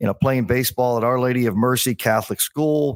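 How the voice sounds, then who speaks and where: In an unremarkable speaking voice with an American accent, a man talks at a moderate pace and medium pitch on a very clean recording with a silent background and a dry, close sound with no echo. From Maryland, US (Bethesda, near Washington DC). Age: 60s. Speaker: sports communications executive. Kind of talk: casual interview chat.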